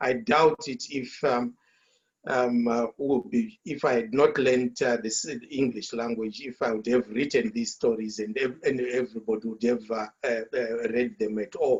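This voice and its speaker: This speaker has a Zimbabwean accent and a moderate pace. The intonation stays fairly even. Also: man, medium pitch for a man. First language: Shona. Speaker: author. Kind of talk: panel discussion. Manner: halting, many fillers and repetitions.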